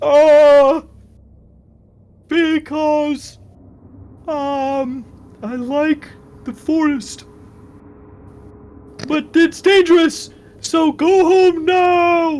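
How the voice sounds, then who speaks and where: In a high-pitched, put-on character voice, the speaker goes at a very slow pace with long, frequent pauses. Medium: actual play. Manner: blustering, shouty.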